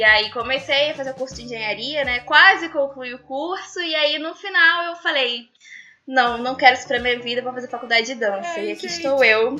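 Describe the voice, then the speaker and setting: Over noticeable background noise, a woman with a high pitch speaks in a raised, projected voice at a fairly quick pace, with big swings in loudness. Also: ordinary pitch variation. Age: 20s. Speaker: dancer and dance student. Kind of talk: casual interview chat.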